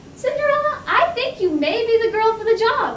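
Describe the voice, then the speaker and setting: A woman puts on a squeaky character voice at an extremely high pitch, her intonation lively. She keeps a moderate pace over clear background noise. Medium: audio drama. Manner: brash, wisecracking.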